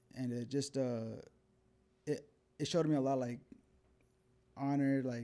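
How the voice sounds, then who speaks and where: Dark and mellow in tone, a man speaks at a moderate pace in a monotone, flat way, with long, frequent pauses. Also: medium pitch for a man. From New Mexico (Albuquerque). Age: 30s. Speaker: professional boxer. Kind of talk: casual interview. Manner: relaxed, with many fillers.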